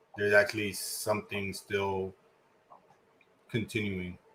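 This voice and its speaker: Noticeable background noise sits behind a man who speaks at a very slow pace. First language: Spanish. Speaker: soccer podcast co-host. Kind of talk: casual chat.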